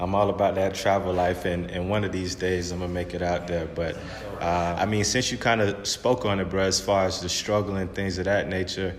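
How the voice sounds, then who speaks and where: With an American accent, a man with a very deep, low pitch talks at a fairly quick pace in a relaxed tone and monotone, flat intonation, amid audible room echo and noticeable background noise. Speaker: podcast interviewer. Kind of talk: casual interview. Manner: relaxed, conversational.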